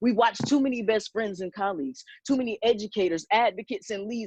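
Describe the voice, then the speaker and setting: A woman with a plain, everyday voice speaks fairly quickly at a fairly high pitch with ordinary pitch variation, in a dry, close sound with no echo. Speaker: spoken word poet. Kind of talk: spoken word poetry performance.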